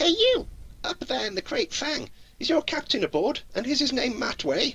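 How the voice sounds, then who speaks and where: A man puts on a character voice at an extremely high pitch. Light background noise sits behind it. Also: moderate pace. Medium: actual play. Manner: wheedling, smooth-talking.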